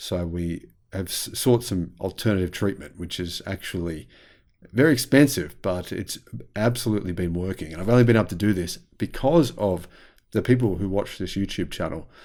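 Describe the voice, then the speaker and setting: Recorded very cleanly with a silent background, a man with an Australian accent speaks at a moderate pace with a very deep, low pitch and ordinary pitch variation. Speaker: YouTube commentator on electric vehicles. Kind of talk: casual monologue video commentary.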